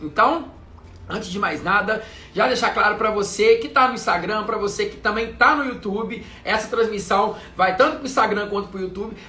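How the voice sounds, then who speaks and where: A man with a high pitch projects a raised voice in an animated tone at a fairly quick pace, with ordinary pitch variation, audible room echo and noticeable background noise. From Brazil, interior of Minas Gerais. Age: 30s. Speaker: travel content creator. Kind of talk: live stream chat. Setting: live video stream.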